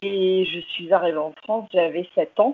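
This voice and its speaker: A woman speaks in a normal speaking voice, medium in pitch, with ordinary pitch variation. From London, England, with Irish father. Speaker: English teaching entrepreneur. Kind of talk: interview.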